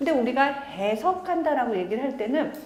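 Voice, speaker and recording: Very wide pitch swings come through with audible room echo and noticeable background noise. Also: woman. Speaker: art critic and lecturer. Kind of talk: public lecture. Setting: small lecture room with audience, using a microphone. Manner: conversational, engaging audience.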